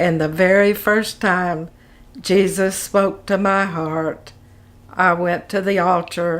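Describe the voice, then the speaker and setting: In an Arkansas accent, a woman at a medium pitch speaks at a very slow pace with monotone, flat intonation. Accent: Southern US (Arkansas). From Arkansas, US South. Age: 80s+. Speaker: retired pastor's wife. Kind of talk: interview testimony. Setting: interview with a fan running. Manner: halting.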